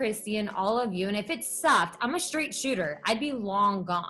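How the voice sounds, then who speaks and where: A woman speaks at a moderate pace with a fairly high pitch, lively intonation and an animated tone, with music playing in the background. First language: not English. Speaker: network marketing distributor. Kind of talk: motivational talk. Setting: video call.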